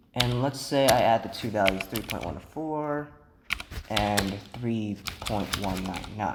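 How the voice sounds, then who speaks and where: A soft-spoken man talks at a very slow pace with a fairly low pitch. Noticeable background noise is present. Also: ordinary pitch variation. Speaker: programming instructor. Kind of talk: tutorial.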